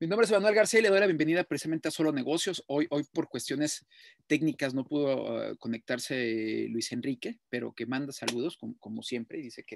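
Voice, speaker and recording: This man talks at a fairly quick pace with lively intonation. The sound is dry, with no echo. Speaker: radio show host. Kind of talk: radio commentary. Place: home room. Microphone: webcam.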